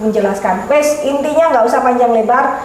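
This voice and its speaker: Ordinary pitch variation comes through with audible room echo and noticeable background noise. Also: woman. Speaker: keris collector discussing heirloom daggers. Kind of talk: casual chat. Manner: blunt, direct.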